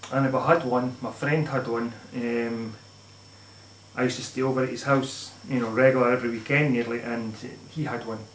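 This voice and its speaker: A man talks at a fairly quick pace with monotone, flat intonation, over light background noise and audible room echo. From Scotland or Northern Ireland. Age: 30s. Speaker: gaming YouTuber. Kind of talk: casual vlog monologue. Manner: halting. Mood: nostalgic, relaxed. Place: home room. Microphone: camera far.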